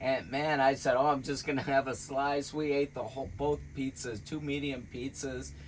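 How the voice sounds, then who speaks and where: At a moderate pace, a man with a fairly high pitch talks in an unremarkable speaking voice. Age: 60s. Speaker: vlogger. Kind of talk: casual chat. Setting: in a van.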